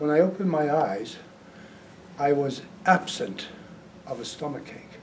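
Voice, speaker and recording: Noticeable background noise and audible room echo accompany a man speaking at a fairly high pitch with ordinary pitch variation. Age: 80s+. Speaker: hypnotist. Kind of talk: talk to audience.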